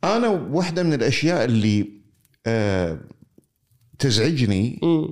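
With a Kuwaiti accent, a man speaks at a medium pitch and a very slow pace, his pitch swinging very widely between long, frequent pauses. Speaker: interviewer. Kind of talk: conversational interview.

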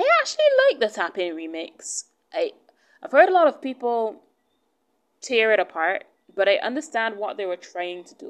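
A woman speaks at a fairly high pitch with very wide pitch swings and big swings in loudness. Long, frequent pauses break up her speech. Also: moderate pace. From Barbados. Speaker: podcast host. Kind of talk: solo monologue podcast.

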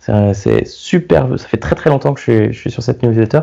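Over noticeable background noise, a man talks at a fairly quick pace with a medium-pitched voice. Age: 30s. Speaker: product designer. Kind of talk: casual chat. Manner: halting.

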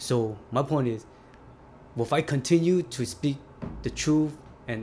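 A man speaks in a somewhat breathy voice. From US, California; immigrated from Vietnam at age eight. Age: 40s. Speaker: formerly incarcerated immigrant facing deportation. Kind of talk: interview testimony.

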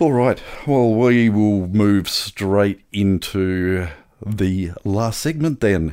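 Very slow and dark, mellow in tone, a man speaks with an Australian accent at a fairly low pitch and ordinary pitch variation, captured on a very clean recording with a silent background. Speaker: podcast co-host. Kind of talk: casual chat. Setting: home studio. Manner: jokey, playful.

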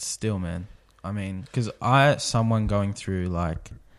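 On a very clean recording with a silent background, a man talks fairly slowly at a fairly low pitch with ordinary pitch variation. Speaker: podcast guest. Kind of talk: casual chat. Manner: loud.

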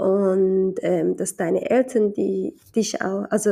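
A woman speaks at a medium pitch with a dark, mellow tone. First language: Somali (speaking German). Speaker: podcaster mother. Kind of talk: casual monologue. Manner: hesitant, many fillers.

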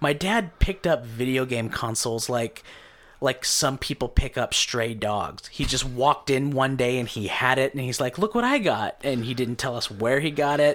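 At a moderate pace, a man with an American accent speaks in an unremarkable speaking voice, medium in pitch with ordinary pitch variation. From Idaho (Caldwell). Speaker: stand-up comedian. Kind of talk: casual chat.

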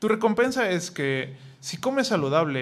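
The man's intonation is lively. He talks fairly slowly. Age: 30s. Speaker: IT consultant. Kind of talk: casual chat.

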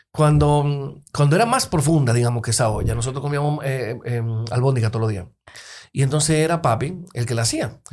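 A man speaks fairly quickly in a medium, somewhat breathy voice. His pitch varies in an ordinary way. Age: 40s. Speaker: lawyer and poet. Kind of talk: casual chat.

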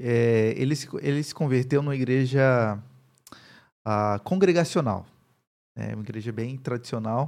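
On a very clean recording with a silent background, a man speaks fairly slowly at a medium pitch, with long, frequent pauses. His pitch varies in an ordinary way while his loudness swings widely. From Brazil, Paraíba (Campina Grande). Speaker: pastor and university professor. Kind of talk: interview, personal testimony.

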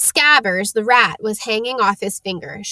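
Reading aloud in a natural voice, the speaker shows ordinary pitch variation against a quiet background.

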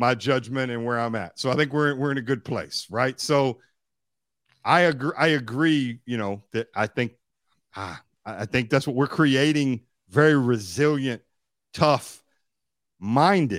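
In a very clean recording with a silent background, a man of medium pitch speaks at a fairly slow pace in an animated tone, with ordinary pitch variation and long, frequent pauses. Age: 40s. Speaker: podcast co-host. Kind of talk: casual chat.

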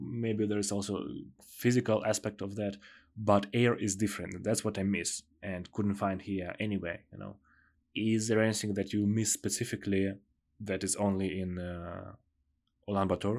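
The speaker has an Eastern European accent and a monotone, flat delivery at a moderate pace. The recording is very clean, with a silent background. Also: man, fairly low pitch for a man. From southern Ukraine, Odessa. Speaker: podcast host. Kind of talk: interview podcast.

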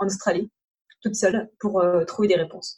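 Her voice has a dark, mellow tone and is somewhat breathy. The woman talks at a moderate pace. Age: 30s. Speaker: travel blogger and entrepreneur. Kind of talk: casual interview.

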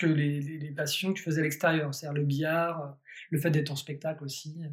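A man speaks at a fairly high pitch. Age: 30s. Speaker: magician. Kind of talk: casual chat. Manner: halting.

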